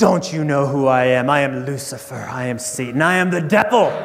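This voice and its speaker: A man's put-on character voice, fairly high in pitch and fairly quick in pace, over clear background noise. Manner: booming, menacing.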